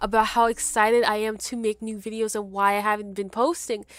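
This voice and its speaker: With an American accent, a woman speaks at a moderate pace in a normal speaking voice, fairly high in pitch. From US, Haitian American family. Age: 20s. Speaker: gaming YouTuber. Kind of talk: casual commentary while gaming.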